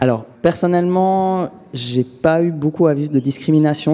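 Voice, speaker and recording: A man's plain, everyday voice, with fairly even intonation at a moderate pace. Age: 20s. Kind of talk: interview testimony.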